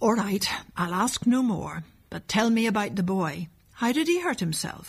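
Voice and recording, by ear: Here a speaker is reading aloud in a natural voice.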